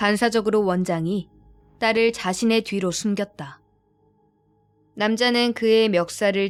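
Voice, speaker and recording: Music plays in the background as a woman speaks at a medium pitch and a very slow pace. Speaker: audiobook narrator, actress. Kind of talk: audiobook narration of a thriller novel, bedtime listening. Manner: soft, ASMR-style.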